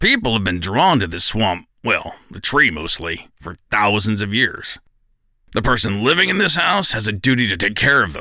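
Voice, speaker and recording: A man puts on a character voice, raspy and fairly low-pitched. The recording is very clean, with a silent background. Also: moderate pace, lively intonation. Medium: audio drama. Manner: easygoing, wry.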